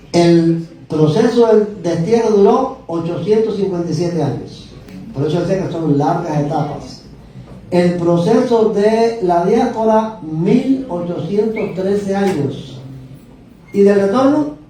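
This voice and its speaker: A man talks very slowly at a high pitch. The recording carries noticeable background noise and audible room echo. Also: ordinary pitch variation. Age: 70s. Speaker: bible teacher. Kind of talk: lecture.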